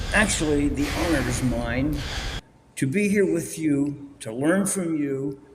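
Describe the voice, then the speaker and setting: Noticeable background noise and audible room echo surround a man speaking at a fairly slow pace. He has a fairly high pitch with ordinary pitch variation. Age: 80s+. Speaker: martial arts instructor. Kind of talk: interview. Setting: auditorium with audience.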